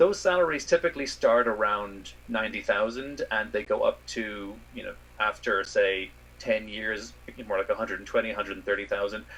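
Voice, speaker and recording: A man with an Irish accent at a moderate pace, his loudness swinging widely amid noticeable background noise. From Ireland. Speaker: space scientist. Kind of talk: interview.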